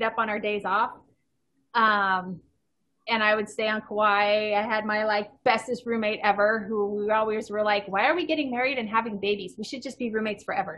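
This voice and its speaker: Here is a woman with an American accent and a normal speaking voice. Her pitch is fairly high and her pace fairly quick. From Southern California. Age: 40s. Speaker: endurance athlete and coach. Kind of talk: casual interview.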